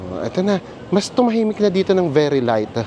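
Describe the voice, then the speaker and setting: With lively intonation, a man speaks at a fairly quick pace amid noticeable background noise. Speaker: travel vlogger. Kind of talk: casual chat. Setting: outdoors. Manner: animated.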